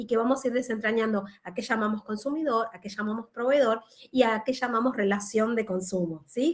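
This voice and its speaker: Rather brisk and slightly airy, this woman's speech sits at a relatively high pitch with typical rise and fall. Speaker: law professor. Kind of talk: online lecture. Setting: video call.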